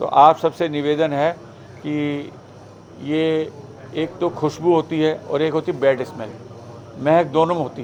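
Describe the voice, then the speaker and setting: A man talks at a fairly high pitch with fairly even intonation. He leaves long, frequent pauses. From Uttar Pradesh, Shahjahanpur. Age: 60s. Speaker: meditation trainer. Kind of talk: talk to audience. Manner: conversational, with fillers.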